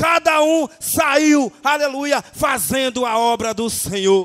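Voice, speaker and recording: The tone is animated, with ordinary pitch variation. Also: man. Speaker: preacher. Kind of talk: sermon. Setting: church. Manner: animated, fervent preaching with frequent shouted 'aleluia'; rhythmic, exhortative, repeating phrases for emphasis. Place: church.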